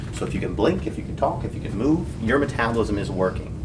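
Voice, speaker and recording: With audible room echo and noticeable background noise, a man speaks at medium pitch and a fairly quick pace. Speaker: fitness coach. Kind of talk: lecture. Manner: fast; animated.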